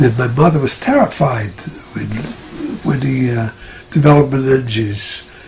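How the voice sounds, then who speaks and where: Noticeable background noise sits under this man's speech, which has long, frequent pauses. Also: medium pitch for a man, ordinary pitch variation, moderate pace. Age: 90s. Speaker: retired doctor and natural health practitioner. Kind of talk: interview answer.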